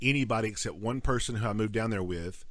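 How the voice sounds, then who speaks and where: The speaker is a man with lively intonation. His pace is moderate. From North Georgia. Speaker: podcast co-host. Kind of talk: casual chat. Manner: halting, many repeated words.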